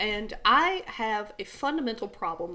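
A woman talks with a Southern US accent. Her pace is fairly slow. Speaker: podcast co-host. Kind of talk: casual chat.

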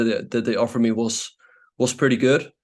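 This man talks at a fairly quick pace and a medium pitch. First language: not English. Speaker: chess grandmaster and streamer. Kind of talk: interview.

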